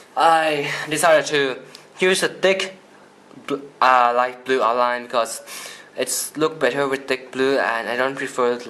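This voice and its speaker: A medium-pitched man's voice with ordinary pitch variation, a fairly slow pace and long, frequent pauses, over noticeable background noise. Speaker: toy customizer YouTuber. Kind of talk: product showcase tutorial. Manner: halting.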